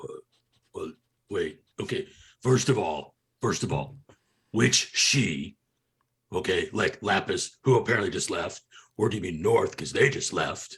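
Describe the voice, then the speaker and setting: Putting on a raspy character voice, a man talks at a moderate pace with long, frequent pauses. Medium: actual play. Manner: stammering, rambling.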